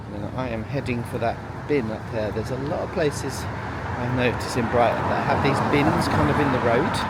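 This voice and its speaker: There is noticeable background noise and audible room echo. A man with medium pitch talks at a moderate pace with ordinary pitch variation. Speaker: travel vlogger. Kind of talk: walking vlog narration. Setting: outdoors, walking streets. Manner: hesitant, many fillers; soft-spoken.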